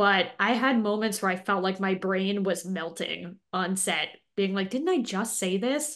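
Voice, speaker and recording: A woman with a General American accent speaks at a fairly slow pace, in a medium pitch with ordinary pitch variation. She has a plain, everyday voice, and the background is quiet. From Los Angeles, US West Coast. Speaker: actress. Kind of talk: interview.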